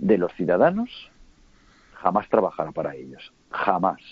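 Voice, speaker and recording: Here a man speaks at a fairly slow pace. His fairly low voice makes very wide pitch swings. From Spain, Huesca (Aragon). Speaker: businessman and political analyst. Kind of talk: interview. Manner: measured, calm.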